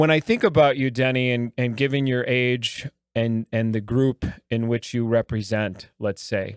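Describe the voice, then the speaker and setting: Heard in a dry, close sound with no echo, a plain, everyday voice moves at a moderate pace with fairly even intonation. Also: man, medium pitch for a man. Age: 50s. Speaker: podcast host. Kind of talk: casual interview.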